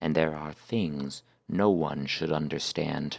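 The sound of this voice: A man puts on a character voice that is raspy and very deep and low. He talks at a fairly slow pace.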